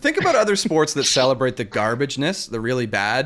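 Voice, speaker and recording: With a North American accent, an unremarkable speaking voice moves at a fairly quick pace with lively intonation. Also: man. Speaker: volleyball talk show co-host. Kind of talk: casual chat.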